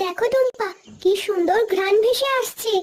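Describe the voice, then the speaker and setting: It's a cartoonish character voice with an extremely high pitch. The pace is moderate. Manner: gentle, helpful.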